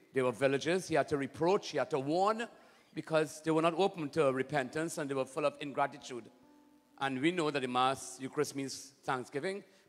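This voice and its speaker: Faint music plays behind a man who talks at a fairly quick pace with ordinary pitch variation. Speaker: priest leading Mass. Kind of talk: liturgical greeting and homily-style address. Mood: warm, prayerful. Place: church. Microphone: handheld.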